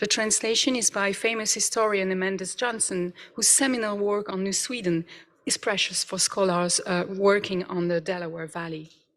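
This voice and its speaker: A woman with a French accent, medium pitch, ordinary pitch variation and a moderate pace. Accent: non-native, French. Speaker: professor. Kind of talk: conference presentation. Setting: conference hall with audience. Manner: hesitant, with fillers.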